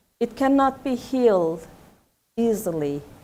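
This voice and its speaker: A woman's fairly high pitch at a very slow pace. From Kurdish town in Turkey. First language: Kurdish. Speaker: poet. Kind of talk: talk at a panel. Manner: halting.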